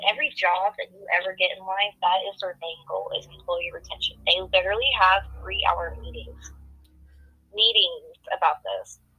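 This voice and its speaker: At a moderate pace, a woman is speaking. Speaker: podcast guest. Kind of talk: casual, conversational. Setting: phone.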